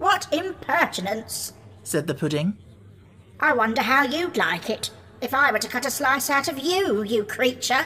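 A put-on character voice speaks at a moderate pace. Background noise is clearly audible. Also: female-sounding voice, high pitch for a woman. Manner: indignant, haughty.

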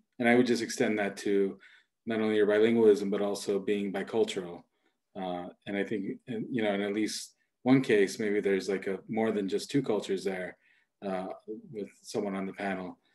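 A man's fairly low, monotone, flat voice at a moderate pace over a quiet background. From Colombia, raised in Los Angeles; California. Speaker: school principal and panel moderator; panel moderator. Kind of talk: moderated panel discussion. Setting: video call. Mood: warm, thoughtful. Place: home room. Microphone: video call.

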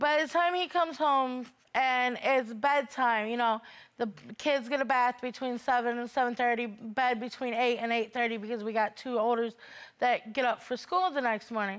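A woman with a high pitch and ordinary pitch variation speaks against a quiet background. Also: moderate pace. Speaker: litigant on a court show. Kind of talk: courtroom testimony. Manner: halting. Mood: aggrieved, complaining. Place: studio.

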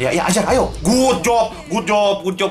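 Noticeable background noise sits behind a man as he speaks. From Indonesia. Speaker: gaming youtuber. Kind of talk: live gameplay commentary. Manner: animated. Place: home room. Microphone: cheap-sounding headset mic.

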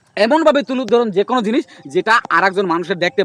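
The man's voice is high and animated in tone. The sound is dry and close with no echo, though background noise is noticeable. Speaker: social media tutorial youtuber. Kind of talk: tutorial. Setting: outdoors. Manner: repetitive, animated.

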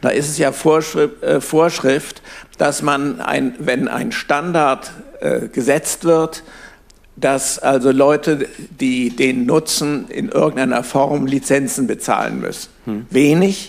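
A man talks very slowly in a fairly high voice with ordinary pitch variation. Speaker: audience member. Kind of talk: audience question. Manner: halting. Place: classroom.

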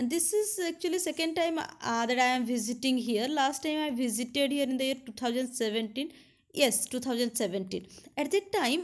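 A fairly slow pace against a quiet background. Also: woman. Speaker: travel vlogger. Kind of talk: casual vlog commentary. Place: waterside. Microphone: phone near.

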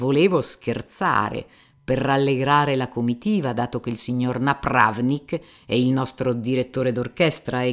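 Someone is reading aloud in a natural voice, the intonation fairly even.

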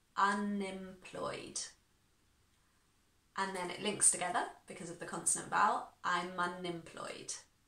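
Audible room echo surrounds a woman speaking at a fairly slow pace with long, frequent pauses. Her intonation is monotone and flat, with big swings in loudness. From United Kingdom. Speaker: English teacher. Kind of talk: online language lesson to camera. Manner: clear, instructive. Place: home room.

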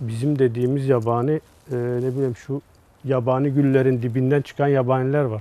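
At a moderate pace, a man speaks with medium pitch and monotone, flat intonation. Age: 40s. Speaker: flower grower. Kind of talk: casual interview. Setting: greenhouse on location.

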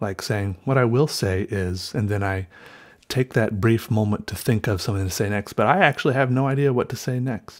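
A man talking at a fairly quick pace with ordinary pitch variation against a quiet background. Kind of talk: casual vlog chat.

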